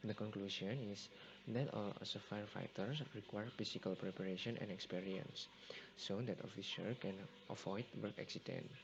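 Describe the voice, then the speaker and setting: With an unremarkable speaking voice, a man speaks at a moderate pace and fairly low pitch, using ordinary pitch variation. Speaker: university student. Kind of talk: class presentation narration. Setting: home computer recording, low volume.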